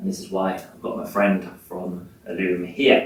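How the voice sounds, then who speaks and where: Music sits in the background as a man with an English accent speaks at a moderate pace. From England. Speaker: sustainability manager. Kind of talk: presentation.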